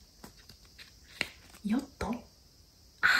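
A woman is whispering. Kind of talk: casual playful talk to a child. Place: home room. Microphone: phone near.

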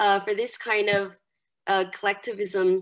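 In a Chinese accent, the speaker talks at a moderate pace with fairly even intonation. The background is quiet. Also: woman. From China, Jiangxi province. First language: Mandarin Chinese. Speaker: university English lecturer. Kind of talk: lecture. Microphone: webcam.

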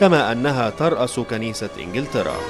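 With music in the background, a man at medium pitch uses lively intonation at a moderate pace. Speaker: news anchor and voiceover artist. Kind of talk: documentary narration.

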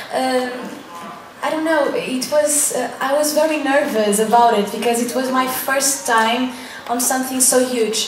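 With light background noise and audible room echo, a woman speaks at a high pitch in a Portuguese accent, her intonation fairly even. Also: fairly slow pace. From Portugal. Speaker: singer. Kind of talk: press conference Q&A. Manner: halting. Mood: slightly shy, relaxed. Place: hall.

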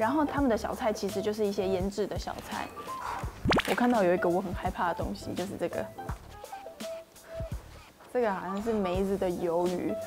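Over clear background music, a woman talks at a fairly quick pace with ordinary pitch variation. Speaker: food vlogger. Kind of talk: casual vlog chat. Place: cafe. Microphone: lapel.

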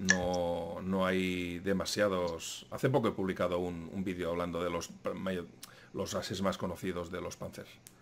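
A man talks fairly slowly in a very deep, low voice. Faint music plays in the background. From Spain. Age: 40s. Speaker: YouTube history channel host. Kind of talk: casual interview chat. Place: home room.

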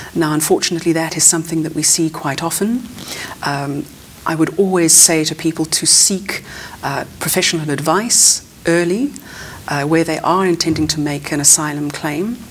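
Against light background noise, a woman speaks at a moderate pace with a fairly low pitch and ordinary pitch variation. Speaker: immigration lawyer. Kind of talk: interview. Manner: halting, many repetitions and fillers. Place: studio.

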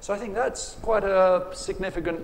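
A man with an English accent, ordinary pitch variation and a fairly slow pace, with light background noise. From England. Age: 50s. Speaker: writer. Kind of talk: panel discussion. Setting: stage with audience. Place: tent. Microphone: lapel.

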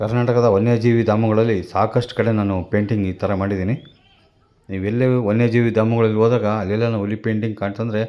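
In a monotone, flat delivery, a man speaks with a dark, mellow tone at a fairly low pitch. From Chitradurga, Karnataka, India. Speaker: wildlife painter and vlogger. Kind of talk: vlog narration. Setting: outdoors at a zoo.

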